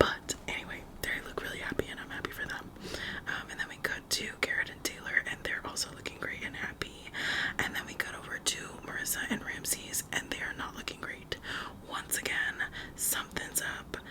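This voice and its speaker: Over noticeable background noise comes fairly quick whispering. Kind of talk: ASMR TV show recap talk to camera. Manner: whispered.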